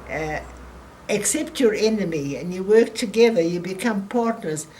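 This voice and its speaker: Noticeable background noise surrounds a woman talking at a medium pitch. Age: 80s+. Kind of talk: interview answer.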